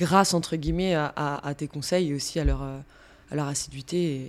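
A woman with an ordinary speaking voice, at a fairly slow pace, with fairly even intonation. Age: 30s. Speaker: fitness coach. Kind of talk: casual interview.

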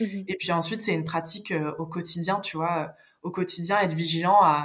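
A woman with a fairly low pitch speaks at a moderate pace, keeping her intonation fairly even. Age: 30s. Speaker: life coach. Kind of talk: podcast interview. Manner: halting.

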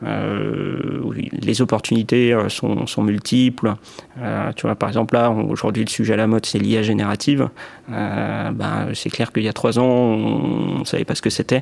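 Noticeable background noise sits under this recording. A man talks fairly slowly over it. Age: 20s. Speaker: key account manager. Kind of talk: testimony. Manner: hesitant, many fillers and repetitions.

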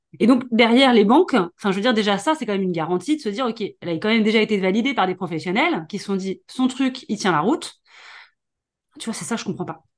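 Very fast, lively-intoned speech from a fairly high-pitched woman against a quiet background. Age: 40s. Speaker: podcast host and business coach. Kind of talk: interview.

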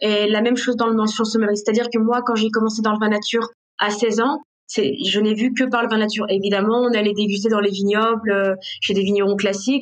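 The words come at a very fast pace in a monotone, flat intonation. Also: woman. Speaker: sommelier and restaurant owner. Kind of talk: interview. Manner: spontaneous, halting with fillers; passionate.

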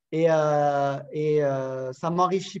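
In a southern French accent, a man speaks in a fairly high voice with ordinary pitch variation. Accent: southern French sing-song. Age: 40s. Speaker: sales coach. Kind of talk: interview. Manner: animated.

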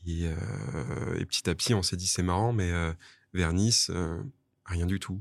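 A man's very deep, low voice with ordinary pitch variation, on a very clean recording with a silent background. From southwest France (Toulouse area). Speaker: bar and wine shop owner. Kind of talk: interview.

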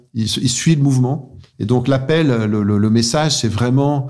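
Moderate pace and fairly even intonation from a man at medium pitch, with audible room echo. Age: 50s. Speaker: business executive. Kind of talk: interview. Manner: halting.

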